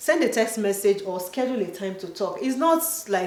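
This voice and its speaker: A woman with an African accent speaks at a fairly high pitch and a moderate pace with lively intonation, with audible room echo and noticeable background noise. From Nigeria. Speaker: video creator. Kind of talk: casual chat.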